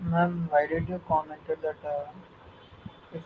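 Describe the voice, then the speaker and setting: Against noticeable background noise, a man speaks at a moderate pace with monotone, flat intonation. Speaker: workshop student. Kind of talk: classroom question. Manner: quiet.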